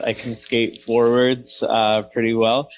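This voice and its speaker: At a fairly slow pace, a man speaks at medium pitch with a Canadian accent. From Canada (small-town Alberta). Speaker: hockey play-by-play announcer. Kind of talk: podcast interview answer.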